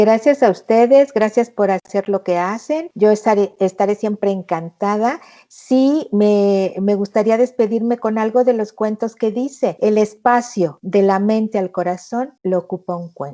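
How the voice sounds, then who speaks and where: A woman with a fairly high pitch speaks at a fairly slow pace with hardly any pauses. Her tone is warm and animated, and her pitch varies in an ordinary way. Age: 60s. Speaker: thanatologist and therapist. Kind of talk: interview conversation. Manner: warm, animated.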